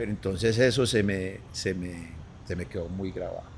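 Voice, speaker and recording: A man speaks fairly slowly in a somewhat breathy voice. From Colombia, Antioquia (Medellín). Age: 60s. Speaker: former professional footballer. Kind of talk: casual interview chat. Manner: halting, repeats words.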